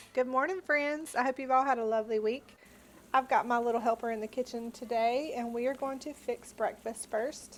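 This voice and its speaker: A woman in a Southern US accent talks at a fairly quick pace with a high pitch and fairly even intonation. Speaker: homemaker, home baker. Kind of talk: casual cooking tutorial to camera.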